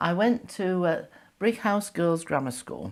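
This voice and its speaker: Heard in a very clean recording with a silent background, the voice has a northern English accent and very wide pitch swings. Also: woman. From northern England, Yorkshire. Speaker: retired teacher sharing wartime memories. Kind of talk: oral history interview. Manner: halting, many fillers.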